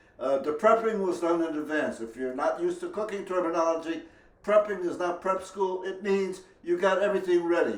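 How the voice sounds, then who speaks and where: A man's high-pitched voice at a fairly quick pace, fairly even in intonation, with audible room echo and noticeable background noise. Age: 80s+. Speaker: home cook. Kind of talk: tutorial.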